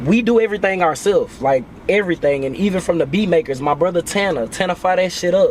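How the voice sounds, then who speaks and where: A man speaks very fast in a high voice with ordinary pitch variation over noticeable background noise. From Nashville area, Tennessee. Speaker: rapper. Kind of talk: casual interview chat. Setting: in a car at a festival.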